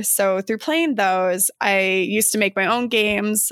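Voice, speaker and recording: A plain, everyday voice with an American accent comes through on a very clean recording with a silent background. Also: woman. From Arizona (Flagstaff). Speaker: board game designer and graphic designer. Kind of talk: casual interview.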